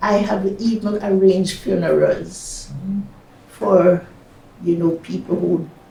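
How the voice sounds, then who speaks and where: A woman speaks at a very slow pace, leaving long, frequent pauses. Noticeable background noise runs underneath. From Jamaica. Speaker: retired nurse, midwife and psychotherapist. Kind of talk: oral history interview answer.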